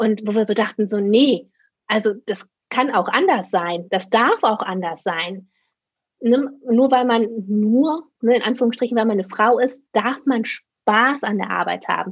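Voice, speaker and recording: A woman with an unremarkable speaking voice, fairly high pitch, ordinary pitch variation and a fairly slow pace. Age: 30s. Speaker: occupational therapist and practice owner. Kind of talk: casual interview.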